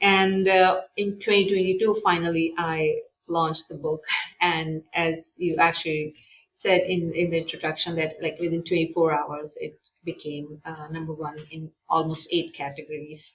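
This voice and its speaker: Her voice is fairly low for a woman, with a non-native accent and a moderate pace. Her intonation is flat and monotone, while her loudness swings widely. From Pakistan. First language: not English. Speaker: author and psychologist. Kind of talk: interview. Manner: halting, many fillers.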